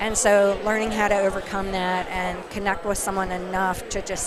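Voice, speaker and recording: Against noticeable background noise and audible room echo, a woman speaks in a flat monotone at a moderate pace and medium pitch. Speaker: nonprofit foundation representative. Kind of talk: casual interview. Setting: live event, noisy venue.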